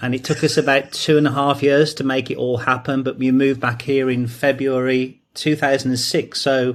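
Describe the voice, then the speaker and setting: In a very clean recording with a silent background, a man with an English accent speaks at a medium pitch and moderate pace, with hardly any pauses and a monotone, flat intonation. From England, near Stratford-upon-Avon. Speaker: training company founder. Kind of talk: interview.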